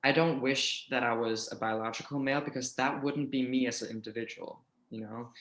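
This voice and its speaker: Speaking fairly quickly with a Danish accent, a man keeps his intonation fairly even. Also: medium pitch for a man. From Denmark. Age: 20s. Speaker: YouTuber. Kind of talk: casual interview.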